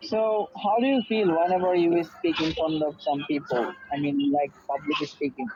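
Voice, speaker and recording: Over noticeable background noise, a man with a Bengali accent and a high pitch talks at a moderate pace with lively intonation, very even loudness and hardly any pauses. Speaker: English speaking partner. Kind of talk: casual chat.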